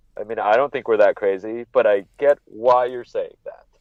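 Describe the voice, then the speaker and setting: A man with a Californian accent at a moderate pace. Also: big swings in loudness. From Northern California (Monterey). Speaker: wrestling podcaster. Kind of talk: casual chat.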